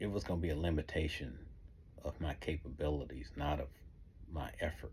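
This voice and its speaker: In a Southern US accent, a man with a very deep, low pitch, vocal fry and a dark, mellow tone talks at a moderate pace with fairly even intonation. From US South. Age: 60s. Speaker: author. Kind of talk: motivational talk.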